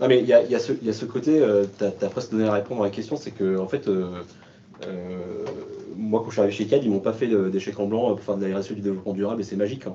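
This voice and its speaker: This man's fairly low voice moves at a very fast pace. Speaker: sustainability manager at a company. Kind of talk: panel discussion. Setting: remote video call.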